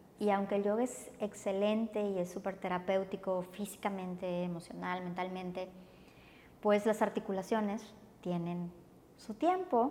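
The woman's pitch sits in the medium range, with fairly even intonation. She speaks at a fairly slow pace. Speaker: yoga teacher. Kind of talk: casual interview.

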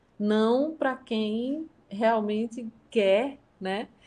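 Her pitch is fairly high. This woman's pitch variation is ordinary. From Brazil, São Paulo then interior of Paraíba (Northeast). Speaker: violinist and university professor. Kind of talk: interview conversation.

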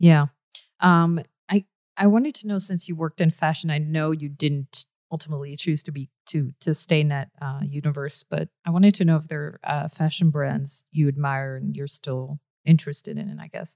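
A woman speaks in a very deep, low voice with a dark, mellow tone, recorded dry and close with no echo. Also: moderate pace, big swings in loudness. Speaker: podcast host and illustrator. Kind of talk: interview.

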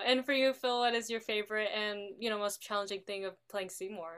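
A woman uses a normal speaking voice at medium pitch and a moderate pace. Her intonation is fairly even, with hardly any pauses. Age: young. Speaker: podcast host. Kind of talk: interview.

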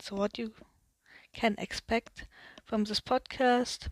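Speaking very slowly with a German accent, a woman uses a fairly high pitch and monotone, flat intonation. The sound is dry and close, with no echo. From Germany. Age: 20s. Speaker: podcast host, media designer. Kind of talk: solo podcast introduction. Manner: hesitant, many fillers.

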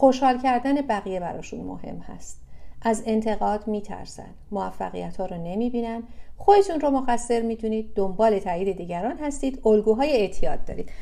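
A woman with a fairly high voice and a dark, mellow tone talks at a moderate pace, using ordinary pitch variation and big swings in loudness. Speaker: psychology speaker on codependency. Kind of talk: online talk/workshop. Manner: quiet, limited volume.

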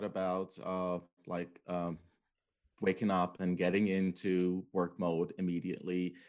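At a fairly slow pace, someone talks with an Iranian accent on a very clean recording with a silent background. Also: man. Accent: Iranian (Persian) English. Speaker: university writing instructor. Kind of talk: casual interview.

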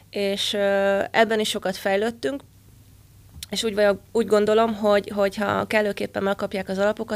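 Delivered at a fairly quick pace, this speech comes through on a very clean recording with a silent background. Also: woman. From Hungary, Győr. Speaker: football coach and former national team player. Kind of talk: interview.

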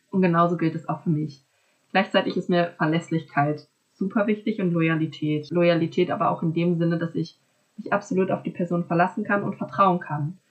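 A woman's voice sits fairly low in pitch. It has a somewhat breathy quality. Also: fairly even intonation, moderate pace. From small town in Germany. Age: 20s. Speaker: master's student. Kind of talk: casual interview conversation.

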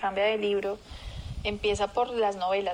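Against noticeable background noise, a woman talks at a moderate pace in a medium pitch. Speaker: marketing professional. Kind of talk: interview. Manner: animated.

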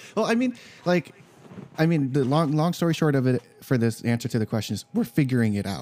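Using an ordinary speaking voice, a man talks at a fairly quick pace in a fairly high pitch with lively intonation. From Filipino-American, US. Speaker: podcast host. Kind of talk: casual chat.

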